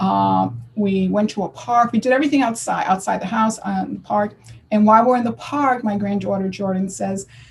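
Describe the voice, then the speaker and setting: Speaking at a fairly quick pace, a woman with a medium pitch sounds somewhat breathy and uses lively intonation. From US Northeast, Connecticut. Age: 60s. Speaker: ultramarathon runner. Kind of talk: podcast interview. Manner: halting.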